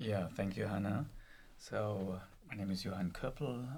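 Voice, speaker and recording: With a German accent, a man speaks at a moderate pace in a fairly low, somewhat breathy voice. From Germany. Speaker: professor. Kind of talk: interview. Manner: hesitant, with fillers.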